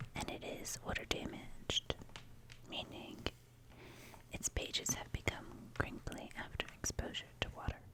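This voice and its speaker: Whispering in a soothing tone at a moderate pace, the speaker leaves long, frequent pauses over noticeable background noise. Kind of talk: ASMR magazine reading. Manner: whispered; soft-spoken, soothing.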